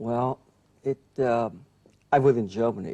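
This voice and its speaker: Here a man speaks with a fairly low pitch and a dark, mellow tone. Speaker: neurologist. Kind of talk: interview. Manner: halting.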